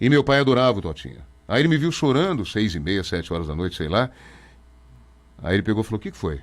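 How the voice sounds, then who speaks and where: A man speaks very fast with vocal fry, a fairly low pitch, very wide pitch swings and long, frequent pauses, on a very clean recording with a silent background. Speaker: radio announcer. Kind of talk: interview.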